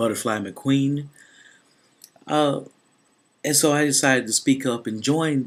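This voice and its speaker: A man speaks at a fairly slow pace. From US South, Memphis, Tennessee. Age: 20s. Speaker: YouTuber, student. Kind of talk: personal vlog testimony.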